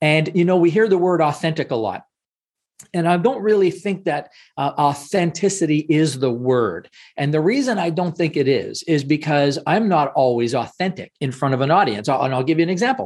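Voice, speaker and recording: With a normal speaking voice, a man talks at a fairly quick pace, fairly high in pitch and with lively intonation, over a quiet background. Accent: Canadian. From Canada. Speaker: speaking coach. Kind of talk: interview.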